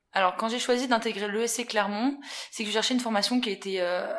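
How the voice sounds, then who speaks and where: The woman's voice is fairly high, her pace fairly quick, and her intonation fairly even. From central France (Haute-Loire, Puy-de-Dôme). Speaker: events sales assistant. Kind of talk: interview. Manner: hesitant, many fillers.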